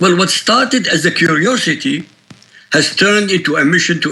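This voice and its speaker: Against noticeable background noise, a man with a high pitch speaks at a moderate pace, his pitch swinging very widely. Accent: Iraqi. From Iraq. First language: Arabic. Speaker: author and critic of religion. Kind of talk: news interview. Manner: emphatic.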